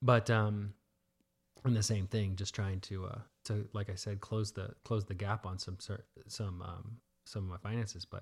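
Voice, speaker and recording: This man's somewhat breathy speech is broken by long, frequent pauses. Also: big swings in loudness. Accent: American. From Texas (Dallas). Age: 40s. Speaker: salon owner and entrepreneur. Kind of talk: casual chat. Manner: hesitant, many fillers.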